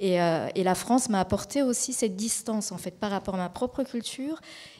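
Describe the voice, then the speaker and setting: Fairly high in pitch yet dark and mellow in tone, this is a woman's voice. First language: Japanese (speaking French). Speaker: colour researcher. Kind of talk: panel discussion. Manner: halting.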